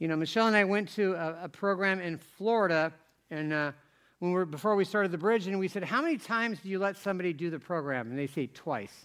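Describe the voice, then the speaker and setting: This man's voice is high-pitched. He speaks very fast. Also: ordinary pitch variation. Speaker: pastor. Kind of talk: sermon. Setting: church. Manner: informal, humorous.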